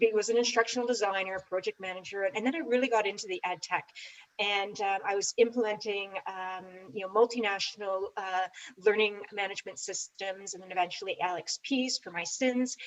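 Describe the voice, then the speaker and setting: A woman with a Canadian accent and a normal speaking voice, medium-pitched with ordinary pitch variation, at a moderate pace, her loudness swinging widely. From Canada. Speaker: ed tech consultant. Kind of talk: panel discussion.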